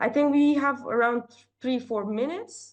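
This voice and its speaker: A woman with a non-native accent talks at a moderate pace with lively intonation over a quiet background. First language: not English. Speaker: workshop breakout room facilitator. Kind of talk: online group discussion. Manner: halting, with many fillers and repeats.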